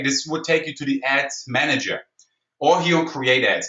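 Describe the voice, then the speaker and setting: Speaking with a German accent, a man uses a high pitch. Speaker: online marketing trainer. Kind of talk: webinar tutorial. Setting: online webinar. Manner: fast; animated.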